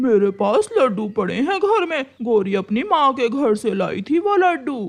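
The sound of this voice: The voice is cartoonish and fairly high-pitched, with very wide pitch swings. It moves at a moderate pace.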